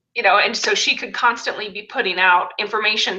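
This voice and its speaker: A woman with a fairly high pitch talks at a fairly quick pace over noticeable background noise. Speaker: network marketing trainer. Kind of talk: live webinar tutorial. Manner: fast; animated.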